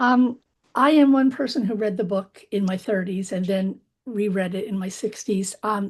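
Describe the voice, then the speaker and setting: This woman's voice sits at a medium pitch, is somewhat breathy, and shows ordinary pitch variation. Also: moderate pace. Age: 60s. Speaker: book group participant. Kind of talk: casual group discussion.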